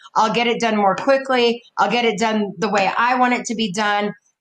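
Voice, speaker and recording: With music in the background, a woman speaks at a moderate pace. Her pitch is fairly high. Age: 60s. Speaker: counselor and coach, podcast guest. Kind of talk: casual interview.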